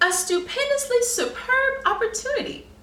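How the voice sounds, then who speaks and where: With a slight echo, a woman does a put-on character voice at an extremely high pitch. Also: moderate pace. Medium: read story. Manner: formal, wordy.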